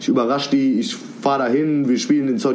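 A man talks at a very fast pace. The recording has audible room echo and noticeable background noise. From Cologne, Germany. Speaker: rapper. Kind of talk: casual interview chat. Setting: video call from home.

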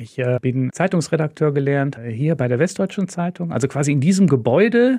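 A man at a moderate pace, dark and mellow in tone, with lively intonation. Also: fairly high pitch for a man. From Lower Rhine, western Germany (Moers). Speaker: sponsor representative, former journalist. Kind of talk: casual interview.

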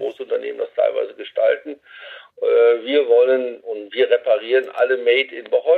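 A man talks at a fairly quick pace. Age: 60s. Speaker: company CEO. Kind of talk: radio interview. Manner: halting.

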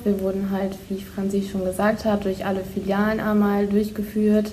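A woman's voice sits at a medium pitch, with audible room echo. She speaks at a moderate pace. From Lower Saxony, Germany (Holdorf). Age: 20s. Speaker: bank apprentice. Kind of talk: podcast interview.

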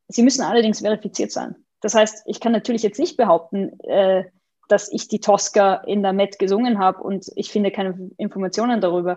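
Against a quiet background, a woman talks at a fairly quick pace in a medium pitch, her dark, mellow tone held in fairly even intonation. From Austria, Vienna. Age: 20s. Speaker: opera database executive. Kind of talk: interview.

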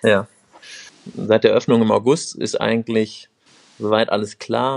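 This is a man speaking. His pitch sits in the middle range. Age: 30s. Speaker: bar owner and management consultant. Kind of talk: interview.

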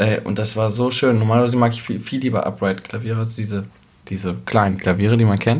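This man talks at a very fast pace. His voice is fairly low and monotone, with flat intonation. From East Westphalia, Germany. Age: 20s. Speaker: musician. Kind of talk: casual chat. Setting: kitchen table at host's home.

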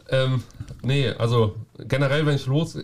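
A man speaks with a somewhat breathy voice and ordinary pitch variation. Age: 20s. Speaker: carpenter and roofer going on journeyman travels. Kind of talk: casual interview.

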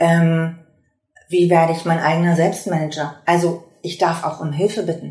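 A fairly low female voice in a flat monotone at a moderate pace. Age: 50s. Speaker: workshop trainer and patient volunteer. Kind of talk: interview; scripted intro.

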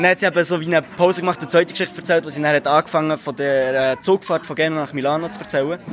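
Noticeable background noise sits behind this recording. A man speaks very fast at a fairly high pitch with ordinary pitch variation. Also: hardly any pauses. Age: 20s. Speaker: philosophy student, workshop participant. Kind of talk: interview.

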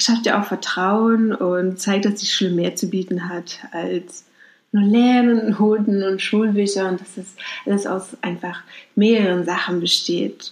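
A woman speaks at a moderate pace with a fairly high pitch, over noticeable background noise. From Mecklenburg-Vorpommern, Germany. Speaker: podcast host. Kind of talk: casual advice monologue. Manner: conversational, with fillers.

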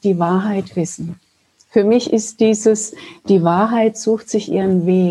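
The voice moves at a fairly slow pace, somewhat breathy and dark and mellow in tone, with fairly even intonation. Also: woman. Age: 50s. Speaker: spiritual healer. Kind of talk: casual interview chat. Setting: video call.

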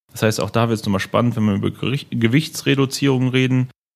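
A man speaks in a normal speaking voice at a medium pitch, with ordinary pitch variation, on a very clean recording with a silent background. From Germany, Hennef (Rhineland). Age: 20s. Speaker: sales manager at 3D printing company. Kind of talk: interview, technical explanation.

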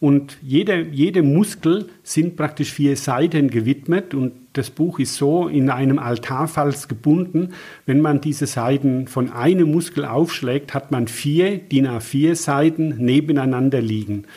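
A man's fairly high, somewhat breathy voice with a dark, mellow tone, ordinary pitch variation and a fairly slow pace. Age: 60s. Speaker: naturopath. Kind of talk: interview. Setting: at guest's practice/home.

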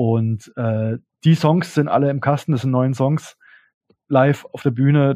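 A man speaks at a medium pitch and a fairly slow pace. His tone is dark and mellow, and the sound is dry and close, with no echo. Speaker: electropunk musician. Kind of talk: interview. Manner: casual, hesitant with many fillers.

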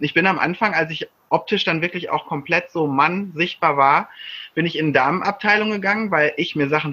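Bright and sharp in tone, a man speaks at a high pitch and a fairly quick pace, with ordinary pitch variation. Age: 30s. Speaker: coach and author. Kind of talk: casual chat.

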